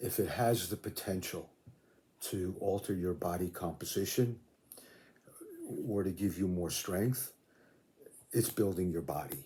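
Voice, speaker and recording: Pausing long and often, a man speaks at a fairly slow pace in a very deep, low pitch, his tone relaxed, dark and mellow, somewhat breathy, with ordinary pitch variation. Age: 70s. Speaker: fitness video creator, veteran weight trainer. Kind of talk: casual talk to camera. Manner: relaxed, with many fillers.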